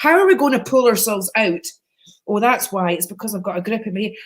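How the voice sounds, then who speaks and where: This woman's voice is fairly high and somewhat breathy. Her pitch varies in an ordinary way. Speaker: psychic live-stream host. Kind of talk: casual live stream chat. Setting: live video stream. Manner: chatty, animated.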